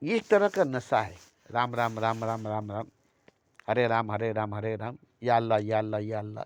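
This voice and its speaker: The man's voice sits at a medium pitch, monotone and flat. He speaks at a moderate pace. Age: 60s. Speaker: spiritual speaker. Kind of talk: spiritual talk. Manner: repetitive.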